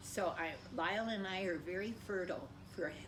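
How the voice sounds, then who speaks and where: A woman with an American accent keeps her intonation fairly even amid noticeable background noise and audible room echo. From US, Colorado Springs. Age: 80s+. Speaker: parishioner. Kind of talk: personal testimony. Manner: halting.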